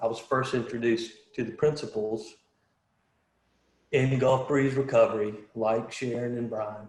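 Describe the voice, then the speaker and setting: A man speaks at a moderate pace in a medium pitch, somewhat breathy and with fairly even intonation. Long, frequent pauses break up his speech, and audible room echo surrounds it. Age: 40s. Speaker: panelist sharing recovery story. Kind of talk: testimony. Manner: halting.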